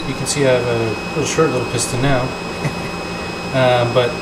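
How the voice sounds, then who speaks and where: Loud background noise runs under the voice. The pace is fairly quick. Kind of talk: casual tutorial commentary. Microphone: phone near.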